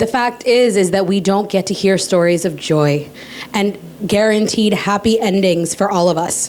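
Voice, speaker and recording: With very even loudness and ordinary pitch variation, a woman talks over noticeable background noise. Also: medium pitch for a woman, moderate pace. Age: 30s. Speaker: author and podcaster. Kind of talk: panel discussion.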